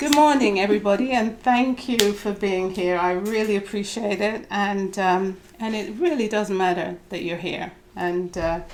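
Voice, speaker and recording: Soft-spoken and at a medium pitch, a woman talks with a British accent over noticeable background noise. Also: ordinary pitch variation, moderate pace. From Britain. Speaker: diversity trainer and consultant. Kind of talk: talk to a group. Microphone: too quiet.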